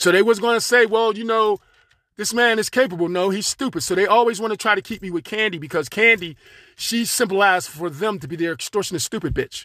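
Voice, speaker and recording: An animated man speaks at a very fast pace in a raised, projected, high-pitched voice with ordinary pitch variation. The recording is very clean, dry and close, with a silent background and no echo. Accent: American. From Pittsburgh, Pennsylvania. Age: 60s. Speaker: podcaster. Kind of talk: angry monologue. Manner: halting.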